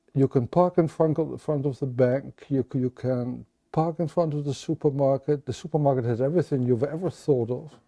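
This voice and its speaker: A man with a fairly high pitch and a dark, mellow tone speaks at a fairly quick pace with hardly any pauses. His intonation is fairly even, and the sound is dry and close with no echo. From Netherlands, Rotterdam. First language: Dutch. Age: 70s. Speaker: crime novelist. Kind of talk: interview conversation. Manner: halting, with frequent repetitions and fillers.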